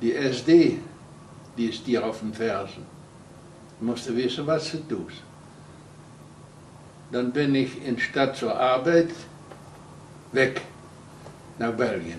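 In a room with audible echo and light background noise, a man speaks very slowly with ordinary pitch variation and long, frequent pauses. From Netherlands. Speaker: concentration camp survivor, eyewitness. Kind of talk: interview answer. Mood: earnest, recounting wartime memories. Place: home room.

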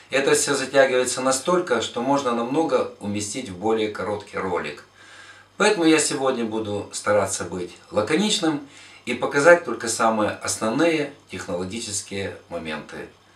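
Audible room echo surrounds a man speaking at a moderate pace, his loudness swinging widely. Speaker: club host. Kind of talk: casual vlog intro to a cooking tutorial. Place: kitchen.

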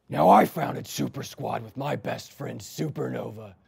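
A man talks at a fairly slow pace with very wide pitch swings. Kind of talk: comedy sketch acting. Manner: pompous, melodramatic.

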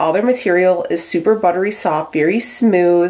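At a moderate pace, a woman talks in a fairly low pitch with a slightly mellow tone and ordinary pitch variation.

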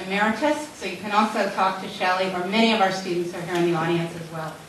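Talking at a very fast pace with fairly even intonation, a woman is heard with audible room echo and light background noise. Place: hall.

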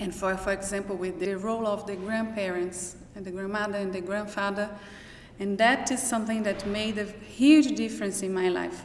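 A woman's voice with a Brazilian accent and fairly even intonation at a moderate pace, audible room echo and light background noise. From Brazil (Minas Gerais). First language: Portuguese. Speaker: professor. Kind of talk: personal testimony; interview answer. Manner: halting. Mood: reflective, personal. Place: hall.

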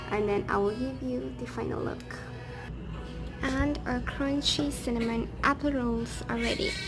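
Speech comes at a fairly slow pace with clear music in the background. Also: woman. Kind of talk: cooking tutorial narration. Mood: cheerful, pleased. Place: kitchen. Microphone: phone near.

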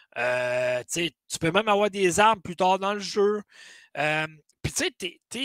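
A man speaks with a Quebec accent at a very slow pace. His high voice has a bright, sharp tone and lively intonation. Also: quiet background, dry sound with no echo. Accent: Québécois French. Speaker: gaming podcast host. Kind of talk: casual chat. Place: home room.

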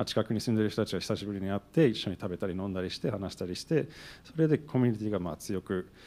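A man with an English accent, fairly low pitch, lively intonation and a fairly quick pace. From New Jersey, US. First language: English (speaking Japanese). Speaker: event organizer, business owner; panelist. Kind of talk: panel discussion. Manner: halting. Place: hall. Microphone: handheld.

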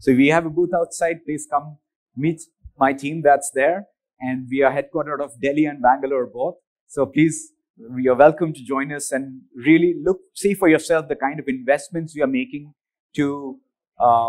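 The man's intonation stays fairly even as he talks at a moderate speed against a quiet backdrop. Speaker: presenter. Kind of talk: conference keynote. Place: hall.

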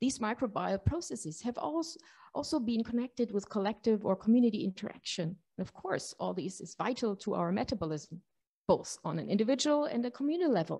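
A woman talks at a fairly quick pace in a somewhat breathy voice against a quiet background. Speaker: panel moderator. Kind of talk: conference introduction. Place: hall. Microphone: podium.

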